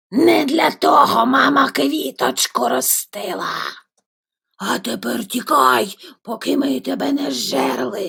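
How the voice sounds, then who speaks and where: In a put-on character voice, the speaker talks at a fairly slow pace with a raspy sound and middle pitch. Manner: growling, menacing.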